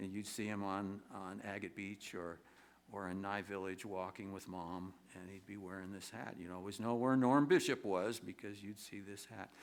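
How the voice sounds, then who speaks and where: With audible room echo, a man at a fairly low pitch speaks at a moderate pace and with fairly even intonation, his loudness swinging widely. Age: 70s. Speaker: singer-songwriter performer. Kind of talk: storytelling monologue on stage. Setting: theater stage with audience. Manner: halting, many repetitions and fillers.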